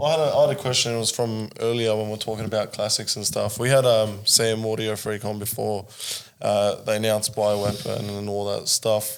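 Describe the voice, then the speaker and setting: The speaker moves at a fairly quick pace with an Australian accent and a monotone, flat intonation. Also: man, fairly low pitch for a man. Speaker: podcast co-host. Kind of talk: casual chat.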